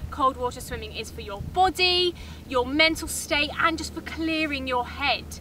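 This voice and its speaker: Projecting her voice at a moderate pace, a woman speaks with a high pitch, the sound dry with no echo and light background noise. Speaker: TV presenter. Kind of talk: documentary-style presenter piece to camera. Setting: outdoors, cold water swimming. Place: waterside.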